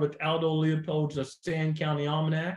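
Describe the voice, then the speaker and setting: At a moderate pace, a man with a fairly high pitch talks in a normal speaking voice. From US Midwest, Missouri Ozarks. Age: 60s. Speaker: deer biologist. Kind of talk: podcast interview.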